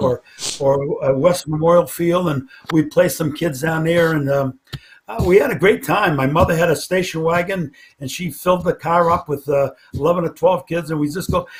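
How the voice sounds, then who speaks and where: Noticeable background noise sits behind a man with an American accent. He speaks at a moderate pace in a high pitch with ordinary pitch variation. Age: 70s. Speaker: football coach. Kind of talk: interview. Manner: halting.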